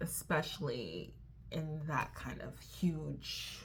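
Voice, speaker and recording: A quiet woman's voice, with audible room echo. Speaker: vlogger. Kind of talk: casual vlog chat. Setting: hotel room at night. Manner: hesitant, many fillers; lowered voice, quiet.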